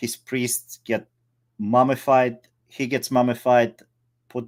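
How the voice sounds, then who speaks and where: A man speaks with a non-native accent. His pitch sits at a medium level. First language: not English. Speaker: movie podcast co-host. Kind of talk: casual chat. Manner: halting.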